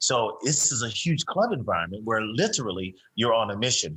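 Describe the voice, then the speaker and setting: With a normal speaking voice, a man at medium pitch talks at a fairly quick pace with lively intonation. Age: 60s. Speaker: fitness instructor. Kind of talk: interview.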